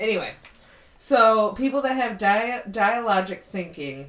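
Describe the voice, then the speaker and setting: A woman with an American accent, audible room echo, and noticeable background noise. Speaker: podcast co-host. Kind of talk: casual chat.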